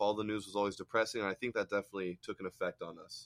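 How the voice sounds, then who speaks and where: Over a quiet background, a man with an American accent speaks at a very fast pace in a fairly low pitch, with a dry, close sound and no echo. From California. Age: 20s. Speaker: former construction worker. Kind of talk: casual chat.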